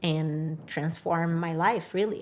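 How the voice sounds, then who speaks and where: Here is a woman with a Brazilian Portuguese accent. Her pitch sits fairly low. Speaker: public defender. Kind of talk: interview.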